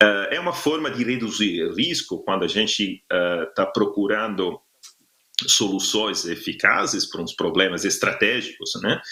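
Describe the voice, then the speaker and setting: Speaking at a fairly slow pace, a man has an Italian accent. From Italy. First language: Italian (speaking Portuguese). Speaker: workshop facilitator. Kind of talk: online workshop presentation. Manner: halting, many filler sounds.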